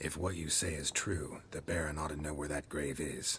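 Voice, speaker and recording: A man growls in a put-on character voice at a very deep, low pitch, with clear background noise behind him. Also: moderate pace. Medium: video game. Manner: dry, terse.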